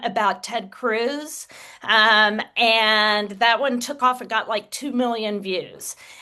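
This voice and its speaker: Against a quiet background, a woman in a Texas accent talks at a fairly slow pace with a fairly high pitch and a bright, sharp tone. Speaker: author and social media creator. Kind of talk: interview.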